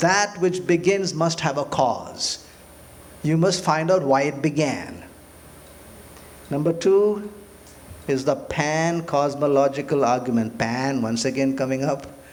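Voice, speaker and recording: A man talks at a fairly slow pace in a fairly high pitch, with ordinary pitch variation and long, frequent pauses. Noticeable background noise runs underneath. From India. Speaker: physician and lecturer. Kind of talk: public lecture.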